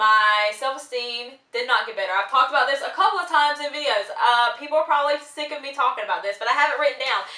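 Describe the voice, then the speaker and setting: A woman with a raised, projected voice talks at a fairly quick pace and with ordinary pitch variation. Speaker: vlogger. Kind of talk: casual vlog monologue. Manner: fast.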